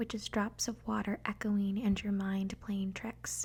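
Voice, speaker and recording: Speech comes at a fairly slow pace. The speaker is soft-spoken. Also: woman. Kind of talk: ASMR reading.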